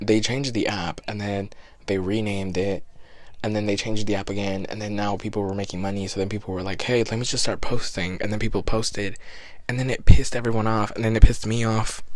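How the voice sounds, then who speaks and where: Very fast, monotone, flat speech over noticeable background noise. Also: man, fairly low pitch for a man. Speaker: podcast host. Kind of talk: casual chat. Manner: rambling, stammering.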